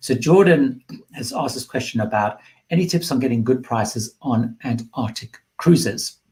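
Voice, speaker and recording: A man talks at a medium pitch with ordinary pitch variation. His voice is somewhat breathy. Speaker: cruise travel youtuber. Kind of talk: live Q&A stream. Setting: livestream. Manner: fast.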